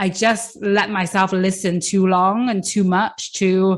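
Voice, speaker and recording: A woman's voice sits at a medium pitch as she talks in a British accent. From UK. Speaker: coach and podcast host. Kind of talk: podcast interview. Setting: remote call.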